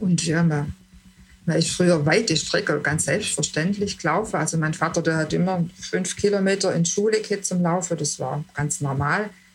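This woman's voice is somewhat breathy. Her pitch is fairly low. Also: ordinary pitch variation, moderate pace. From southern Germany, Lake Constance region. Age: 60s. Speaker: retiree interviewee. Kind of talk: interview. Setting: video call. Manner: halting, many fillers.

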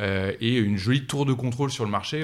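The recording is very clean, with a silent background. A man talks at a fairly quick pace with ordinary pitch variation. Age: 30s. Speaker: fintech startup founder. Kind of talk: interview. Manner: hesitant fillers.

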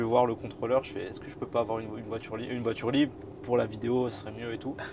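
A man talks at a medium pitch. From northern France, Boulogne-sur-Mer. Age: 20s. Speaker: YouTuber, train travel creator. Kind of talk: casual interview, travel story. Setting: inside a parked historic train.

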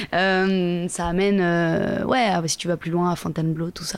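A woman's voice with fairly even intonation. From Paris suburbs, Seine-et-Marne, France. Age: 30s. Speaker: singer and performer. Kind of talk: casual interview. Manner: halting, many repetitions.

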